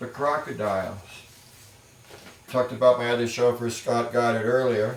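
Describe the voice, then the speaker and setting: Noticeable background noise surrounds a man with an American accent. His medium-pitched voice is monotone and flat, at a moderate pace. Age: 60s. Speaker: music producer. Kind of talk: casual talk to camera.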